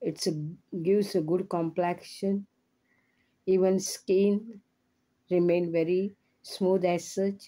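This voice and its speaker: A woman with a dark, mellow tone and a medium pitch speaks very slowly in a flat monotone at a very even loudness, with long, frequent pauses, on a very clean recording with a silent background. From South Goa, India. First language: Konkani/Marathi. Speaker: health video blogger. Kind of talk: informal talk to camera. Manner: halting.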